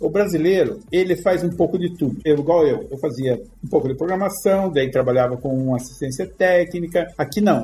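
With music in the background, a man speaks at a high pitch with hardly any pauses. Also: ordinary pitch variation, moderate pace. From Brazil. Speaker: front-end developer. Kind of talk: casual interview.

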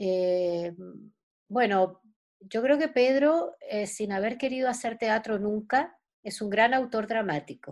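A woman's voice, with ordinary pitch variation, is heard in a very clean recording against a silent background. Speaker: actress. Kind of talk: interview.

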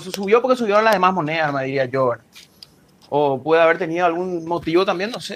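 A high-pitched man talking at a fairly quick pace with lively intonation. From Paraguay. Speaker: cryptocurrency enthusiast. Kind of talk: casual chat. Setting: at home, remote.

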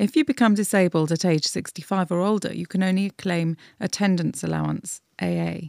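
A woman speaks in a plain, everyday voice at medium pitch, moderate pace and ordinary pitch variation. The recording is very clean with a silent background and a dry, close sound with no echo. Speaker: newsletter reader. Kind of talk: reading aloud.

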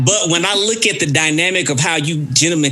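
Noticeable background noise sits behind a man with a Southern US accent and fairly high pitch. He speaks at a fairly quick pace with lively intonation. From Mississippi, US South. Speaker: podcast host. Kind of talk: casual chat.

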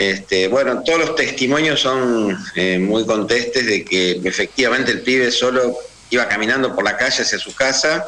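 Over noticeable background noise and audible room echo, a man speaks at medium pitch and a moderate pace with ordinary pitch variation. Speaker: human rights lawyer. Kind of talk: radio interview.

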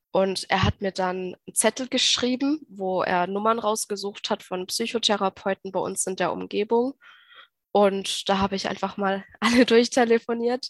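At medium pitch, a woman uses a normal speaking voice at a fairly slow pace. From Baden-Württemberg, Germany. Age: 20s. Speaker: nurse and mental health patient sharing experience. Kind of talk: interview testimony.

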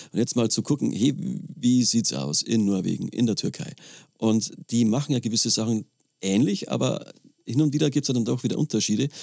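A man's medium-pitched voice with a dark, mellow tone, vocal fry, lively intonation and very even loudness. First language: German. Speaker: podcast co-host, teacher. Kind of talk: interview.

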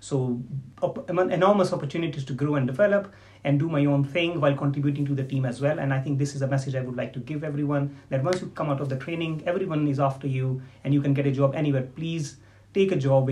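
This man speaks very fast in a fairly high voice with a dark, mellow, somewhat breathy tone and fairly even intonation. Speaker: diabetes consultant doctor. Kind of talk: casual interview.

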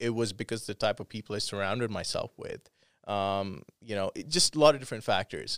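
A man with a plain, everyday voice talks at a moderate pace in a dry, close sound with no echo on a very clean recording with a silent background. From Canada, Calgary. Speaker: electronic music producer. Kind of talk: casual interview.

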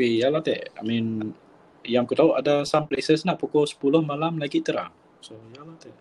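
This man has an unremarkable speaking voice, fairly high in pitch, with ordinary pitch variation and big swings in loudness. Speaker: podcast co-host. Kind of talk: casual chat. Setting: remote call.

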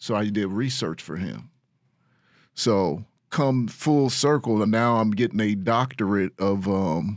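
A man speaks in a plain, everyday voice, fairly low in pitch and with ordinary pitch variation. His pace is fairly slow, and the recording is very clean with a silent background. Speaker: fitness expert. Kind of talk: interview.

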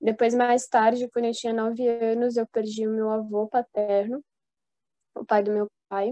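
Her tone is dark and mellow, with monotone, flat intonation. The woman's recording is dry and close, with no echo. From Brazil, São Paulo. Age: 20s. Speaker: engineering student. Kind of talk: casual chat.

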